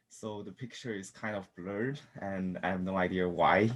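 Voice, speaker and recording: A man with a Chinese accent, very deep and low in pitch, at a moderate pace with fairly even intonation. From China. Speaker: student. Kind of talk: class presentation. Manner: halting.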